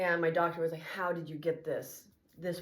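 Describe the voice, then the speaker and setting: A woman with a fairly low pitch speaks amid audible room echo. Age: 50s. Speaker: fitness vlogger. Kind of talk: casual tutorial. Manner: casual, halting.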